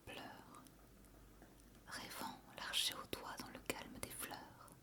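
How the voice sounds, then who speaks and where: A woman whispers at a very slow pace amid noticeable background noise. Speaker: ASMR creator. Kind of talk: poetry reading. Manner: whispered, soft.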